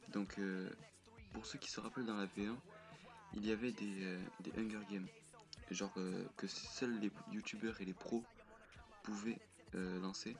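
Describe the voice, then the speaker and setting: Over music in the background, a soft-spoken man talks slowly in a flat monotone, his fairly low voice broken by long, frequent pauses. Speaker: gaming youtuber, server founder. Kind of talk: casual gameplay commentary. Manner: halting, many fillers.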